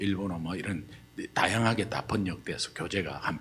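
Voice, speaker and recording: A man speaks with a strong Gyeongsang accent. His very deep, low voice keeps a fairly even intonation. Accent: strong Gyeongsang regional. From Gyeongsang region, Korea. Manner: strong intonation, sounds forceful.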